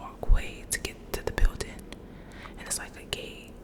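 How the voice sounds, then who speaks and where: A woman whispers at a fairly quick pace. Noticeable background noise is present. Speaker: ASMR creator. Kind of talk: ASMR storytime. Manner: whispered, soft.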